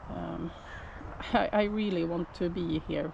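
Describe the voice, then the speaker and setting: A woman with a Swedish accent at a very slow pace, over noticeable background noise. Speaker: shepherd. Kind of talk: casual vlog. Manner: halting.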